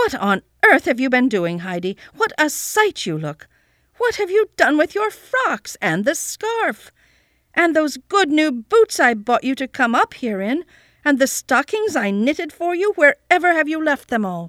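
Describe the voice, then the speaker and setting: This is a put-on character voice, high and shrill, delivered at a moderate pace. Its pitch swings very widely. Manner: scolding, calling out.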